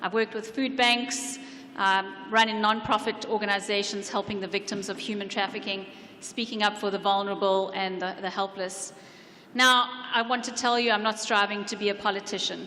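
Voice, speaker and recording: A woman in a South African accent, medium in pitch, with monotone, flat intonation at a fairly quick pace. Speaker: council candidate. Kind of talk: candidate debate speech. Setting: public event with audience.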